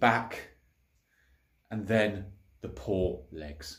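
Breathiness runs lightly through the voice. Behind it, the setting is quiet. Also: man. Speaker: home gym vlogger. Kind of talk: casual vlog chat. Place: garage. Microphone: phone near.

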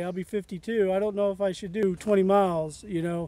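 A man at a moderate pace, dry sound with no echo, and faint music in the background. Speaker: hiker vlogger. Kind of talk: casual vlog chat. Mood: relaxed, upbeat. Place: open country. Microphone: phone near.

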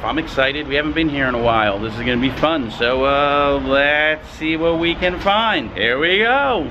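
The speech runs with hardly any pauses over noticeable background noise. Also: man. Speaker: shopping vlogger. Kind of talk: casual vlog chat. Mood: upbeat, excited. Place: street. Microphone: phone near.

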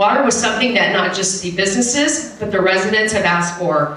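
Speaking fairly quickly with hardly any pauses, a woman with an American accent uses lively intonation at a medium pitch, and the room echo is audible. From Texas. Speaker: city council member and candidate. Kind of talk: candidate debate speech. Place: hall.

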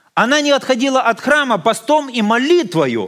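Over a quiet background, a man with an extremely high pitch talks at a fairly slow pace with ordinary pitch variation. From Ukraine, Odesa; Ukraine. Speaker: visiting pastor. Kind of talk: sermon. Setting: church. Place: church.

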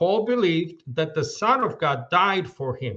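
Bright and sharp in tone, a man's voice carries lively intonation. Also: quiet background. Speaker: debater. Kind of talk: debate closing statement. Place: home room. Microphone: video call.

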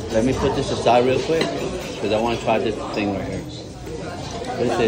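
A man speaks with ordinary pitch variation. Crowd noise can be heard in the background. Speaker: food vlogger. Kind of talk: casual vlog chat. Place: cafe. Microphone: phone near.

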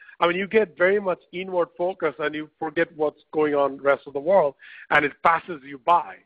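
A man with a plain, everyday voice, fairly high-pitched, with ordinary pitch variation at a moderate pace. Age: 40s. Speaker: entrepreneur and author. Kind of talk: webinar interview. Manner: frequent fillers and repetitions.

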